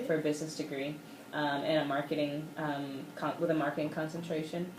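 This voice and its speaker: A woman's voice sits very deep and low, with monotone, flat intonation. She talks at a fairly quick pace over noticeable background noise. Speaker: author, videographer, and editor. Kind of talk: radio interview answer. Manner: fluent, articulate.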